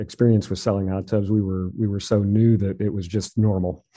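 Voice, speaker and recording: A plain, everyday voice: a man with an American accent, fairly low pitch and a fairly quick pace. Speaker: hot tub retailer, business owner. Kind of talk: interview.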